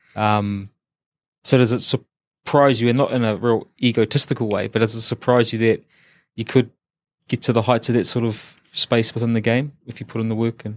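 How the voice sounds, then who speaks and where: A man speaks at a moderate pace with a New Zealand accent, his intonation monotone and flat. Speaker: podcast host. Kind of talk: interview. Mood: warm, relaxed, friendly. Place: studio. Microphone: studio mic.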